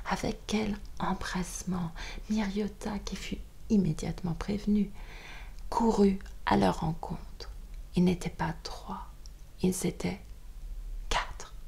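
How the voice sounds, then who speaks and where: A woman whispers at a very slow pace, leaving long, frequent pauses. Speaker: audiobook reader. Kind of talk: bedtime audiobook reading. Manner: whispered.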